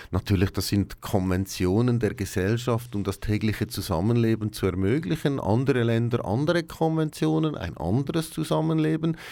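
The voice has a dark, mellow tone and very wide pitch swings, moving at a moderate pace with hardly any pauses. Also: man, medium pitch for a man. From Switzerland, Aargau. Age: 40s. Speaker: quality and process manager. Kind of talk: radio interview.

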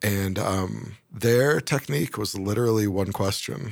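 This is a plain, everyday voice with ordinary pitch variation. The recording is very clean, with a silent background. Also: man. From US Northeast, Syracuse, New York. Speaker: user research team lead. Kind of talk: interview.

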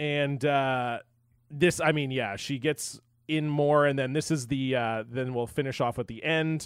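An unremarkable speaking voice with a Canadian accent, fairly slow, with fairly even intonation. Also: man, fairly high pitch for a man. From western Canada, near US border. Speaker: podcaster. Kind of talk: casual chat. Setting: remote call.

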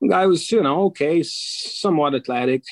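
A man speaks at a fairly slow pace with ordinary pitch variation. The sound is dry and close, with no echo. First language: Portuguese. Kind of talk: casual interview chat.

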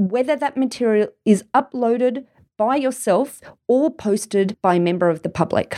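Fairly high in pitch, a woman with an Australian accent speaks at a moderate pace in a dark, mellow tone with ordinary pitch variation. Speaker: lawyer podcast host. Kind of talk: solo legal tips monologue.

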